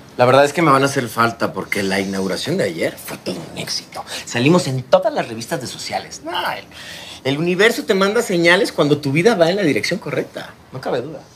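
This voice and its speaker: Very wide pitch swings at a fairly quick pace, over light background noise. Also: man. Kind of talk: scripted drama dialogue. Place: home room.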